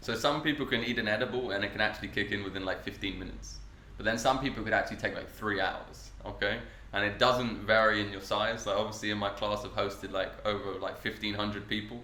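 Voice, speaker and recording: A very fast, fairly low male voice with fairly even intonation, audible room echo and noticeable background noise. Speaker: cannabis cooking workshop host. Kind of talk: podcast interview.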